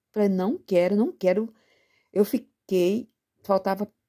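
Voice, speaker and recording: A woman speaks at a fairly slow pace in a medium pitch with a dark, mellow tone. The sound is dry and close, with no echo. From Brazil, São Paulo state (Presidente Prudente). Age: 60s. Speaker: retired teacher. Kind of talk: testimony.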